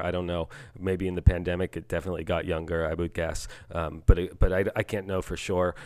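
A man's very deep, low voice, monotone and flat, at a very fast pace. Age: 40s. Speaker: author and speaker on parenting. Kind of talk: interview. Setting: video call. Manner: halting, many repetitions.

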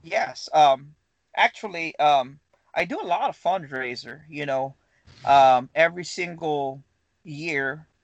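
A man with a Filipino accent speaks at a fairly high pitch, his intonation fairly even. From Philippines. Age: 30s. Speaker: firearm customizer, business owner. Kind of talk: casual interview.

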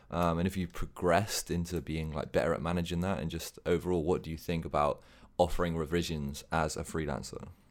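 A man with a very deep, low voice speaks at a fairly quick pace with fairly even intonation. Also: very clean recording, silent background. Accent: English. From England. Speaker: podcast co-host and freelancer. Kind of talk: casual interview.

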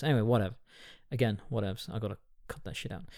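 With an English accent, a man speaks in a dark, mellow tone at a medium pitch with ordinary pitch variation, on a very clean recording with a silent background. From England. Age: 40s. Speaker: podcast host. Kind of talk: casual film review monologue. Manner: rambling, hesitant with many fillers.

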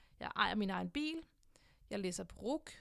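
In a very clean recording with a silent background, a woman speaks at a fairly high pitch with lively intonation. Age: 20s. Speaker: podcast host. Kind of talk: personal monologue. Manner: hesitant, many filler sounds.

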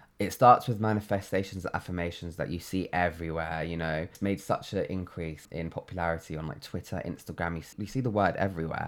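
A man with a London accent has a very deep, low voice and fairly even intonation. He talks very fast with hardly any pauses. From London, England. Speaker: creative, podcast guest. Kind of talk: casual interview chat. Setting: makeshift home studio.

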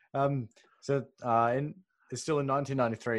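Someone talks with an Australian accent against a quiet background. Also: man. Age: 20s. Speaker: podcast co-host. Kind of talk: interview. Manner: halting.

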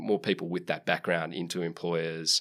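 In a very clean recording with a silent background, a man with an Australian accent speaks at a very deep, low pitch. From country New South Wales, Australia. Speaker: tech company public policy director. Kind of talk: interview. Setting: studio.

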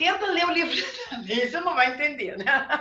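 A woman's raised, projected voice with very wide pitch swings, amid audible room echo. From southern Brazil, Rio Grande do Sul. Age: 50s. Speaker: tarot reader and occult teacher. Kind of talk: interview on a video chat.

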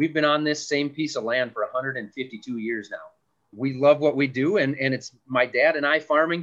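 Here a man with an Upper Midwest accent speaks at a moderate pace, his fairly high pitch held to fairly even intonation. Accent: Upper Midwest American. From West Central Minnesota. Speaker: farmer. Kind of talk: casual interview.

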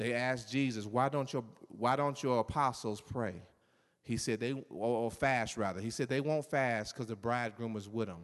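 A man's normal speaking voice at medium pitch, moderate pace, over a quiet background. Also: ordinary pitch variation. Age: 50s. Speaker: pastor. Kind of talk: sermon.

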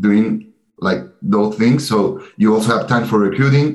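Speaking with a Spanish accent, a man uses ordinary pitch variation. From Chile, Santiago. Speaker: MBA student. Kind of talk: interview.

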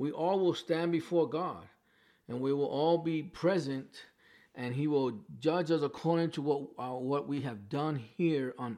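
Against a quiet background, a man with a New York accent talks at a fairly slow pace in a dark, mellow tone. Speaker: pastor. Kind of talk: sermon. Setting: livestream from home. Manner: halting.

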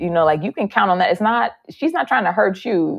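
A woman is speaking. Her pace is fairly quick. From Chicago, South Side. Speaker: comedic actress and writer. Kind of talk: casual interview chat.

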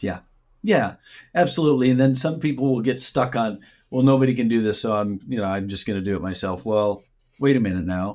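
Over a silent background in a very clean recording, a man with an American accent speaks at a fairly quick pace and medium pitch in a plain, everyday voice. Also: ordinary pitch variation. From Minnesota, US Upper Midwest. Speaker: business coach. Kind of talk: interview. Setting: call.

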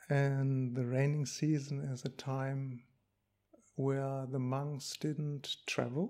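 A man with a German accent, fairly high-pitched, dark and mellow in tone, monotone and flat, at a very slow pace. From Germany. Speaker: Buddhist monk. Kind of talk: dharma talk. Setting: monastery. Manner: halting.

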